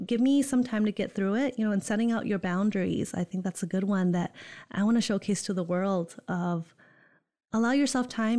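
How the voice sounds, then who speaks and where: With a Michigan accent, a woman speaks at a fairly high pitch on a very clean recording with a silent background. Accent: US Midwest (Michigan). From Holland, Michigan. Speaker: college student engagement coordinator. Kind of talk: casual interview. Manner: enthusiastic.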